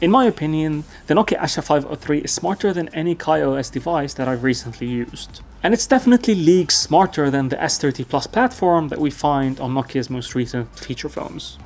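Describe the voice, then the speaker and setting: A man speaks fairly quickly, his intonation lively. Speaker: tech reviewer. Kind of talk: tech review commentary. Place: home room.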